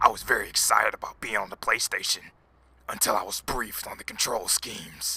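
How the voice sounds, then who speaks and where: Fairly quick and raspy, a man's put-on character voice shows big swings in loudness. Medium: role play. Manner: gruff, dismissive.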